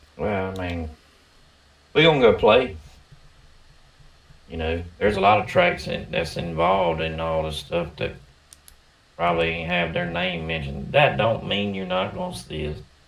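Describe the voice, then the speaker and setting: A man's very deep, low voice with a strong Southern US accent, moderate pace, ordinary pitch variation and long, frequent pauses. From US South. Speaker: RC racing podcast co-host. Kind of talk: casual chat.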